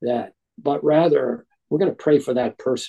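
This man talks at a moderate pace in a fairly high pitch with a dark, mellow tone and ordinary pitch variation, recorded dry and close with no echo. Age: 80s+. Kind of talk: interview about faith and marriage. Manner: halting, many fillers and restarts.

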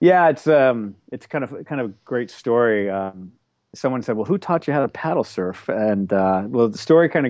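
Speaking at a fairly quick pace with lively intonation, the voice has an American accent and is a normal speaking voice. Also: man. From Oklahoma. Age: 40s. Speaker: television network executive and paddle surfer. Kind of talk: casual interview.

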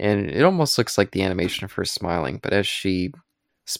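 A natural reading voice with lively intonation plays out against a quiet background.

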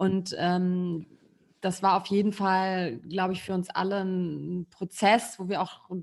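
The speaker is a woman of medium pitch. Her intonation is monotone and flat. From Rhineland, Germany. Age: 40s. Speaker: podcast co-host, co-founder. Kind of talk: casual chat.

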